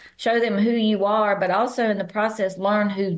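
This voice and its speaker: A woman with a Southern accent. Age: 70s. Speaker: business founder and author. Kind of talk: podcast interview.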